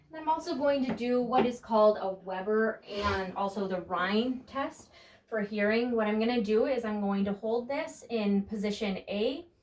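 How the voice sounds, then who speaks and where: Over noticeable background noise, a woman with a fairly high pitch talks at a moderate pace with hardly any pauses. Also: ordinary pitch variation. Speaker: nursing student or nurse. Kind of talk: demonstration of a physical exam. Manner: calm, instructive.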